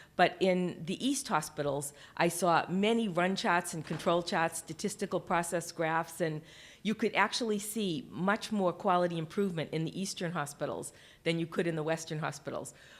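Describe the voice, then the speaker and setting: A woman speaks in a Boston accent at a fairly low pitch. Her pace is moderate, with ordinary pitch variation. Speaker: healthcare quality leader, keynote speaker. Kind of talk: conference keynote talk. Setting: stage with audience, webcast.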